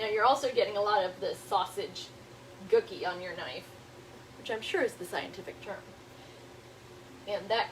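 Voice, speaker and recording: A woman with an American accent talks at a fairly quick pace. Noticeable background noise runs under her voice. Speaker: home cooking show host. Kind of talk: cooking tutorial. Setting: home kitchen. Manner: casual, chatty.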